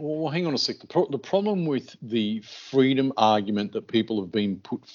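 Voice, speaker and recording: In an Australian accent, the speaker talks at a moderate pace with lively intonation. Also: man. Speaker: podcast co-host. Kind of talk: casual chat.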